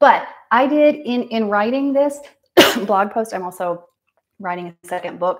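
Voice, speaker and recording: Here a woman talks with ordinary pitch variation. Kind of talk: casual livestream monologue. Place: bathroom. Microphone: phone near.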